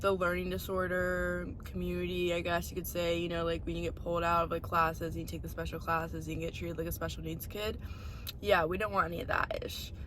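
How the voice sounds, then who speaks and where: Very fast speech with noticeable background noise and audible room echo. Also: woman. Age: young. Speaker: podcast host. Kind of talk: personal testimony. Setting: in a parked car. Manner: halting.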